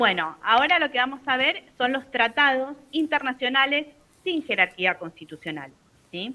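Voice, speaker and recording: Projecting her voice, a woman speaks at a fairly slow pace in a high pitch with a bright, sharp tone. Her pitch swings very widely. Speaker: university law lecturer. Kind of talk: lecture.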